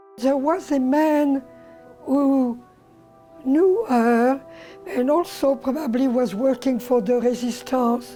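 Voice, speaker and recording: With music in the background, a woman with a high pitch talks at a very slow pace with long, frequent pauses, very even loudness and ordinary pitch variation. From France. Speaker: Holocaust survivor. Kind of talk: oral history testimony.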